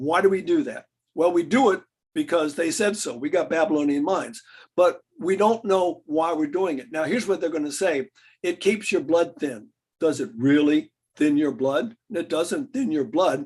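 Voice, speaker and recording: A man's high voice with an American accent and lively intonation at a moderate pace. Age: 70s. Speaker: health lecturer. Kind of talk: lecture. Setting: video call.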